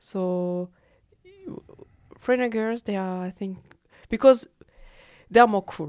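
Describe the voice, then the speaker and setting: Recorded in a dry, close sound with no echo, a woman with a French accent talks at medium pitch and a moderate pace with ordinary pitch variation. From French-speaking Switzerland. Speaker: freelance model. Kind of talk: casual chat. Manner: halting.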